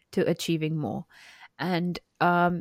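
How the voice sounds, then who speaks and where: Here a woman speaks at a fairly low pitch. The sound is dry and close with no echo, in a very clean recording with a silent background. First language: not English. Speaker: podcast co-host, woman in STEM. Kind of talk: casual podcast discussion.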